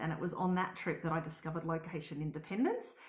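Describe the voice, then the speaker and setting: A woman with an Australian accent. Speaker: travel blogger and house sitter. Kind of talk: live webinar presentation. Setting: live stream.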